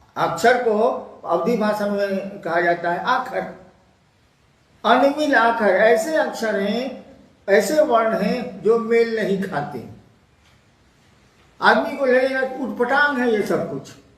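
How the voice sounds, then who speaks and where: Pausing long and often, a man speaks in a high voice with ordinary pitch variation and audible room echo. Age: 70s. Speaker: spiritual teacher. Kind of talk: spiritual Q&A discourse. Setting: Facebook live stream.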